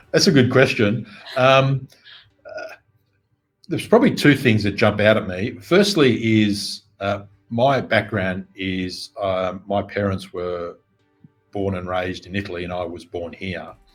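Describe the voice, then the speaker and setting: Over background music, a man with a fairly low pitch talks at a fairly slow pace, his loudness swinging widely while his pitch varies in an ordinary way. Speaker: business coach. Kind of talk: interview.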